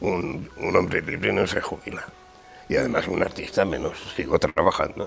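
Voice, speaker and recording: At a moderate pace the speaking continues while music plays behind it. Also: man. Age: 80s+. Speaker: ceramic artist. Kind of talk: interview. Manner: halting.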